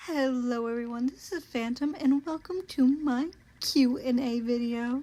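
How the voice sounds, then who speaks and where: Speaking fairly slowly, a woman with an American accent has a high-pitched voice and a dark, mellow tone. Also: ordinary pitch variation. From US South, Georgia. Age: 20s. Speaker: vtuber. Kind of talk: casual Q and A monologue.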